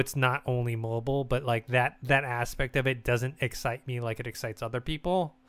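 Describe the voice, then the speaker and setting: Over music in the background, a man with an American accent speaks at a fairly quick pace with a medium pitch and fairly even intonation. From United States. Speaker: gaming podcast host. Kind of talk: casual chat.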